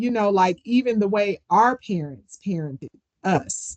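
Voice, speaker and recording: The recording of this woman's voice has a dry, close sound with no echo. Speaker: podcast host. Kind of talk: casual chat. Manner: loud.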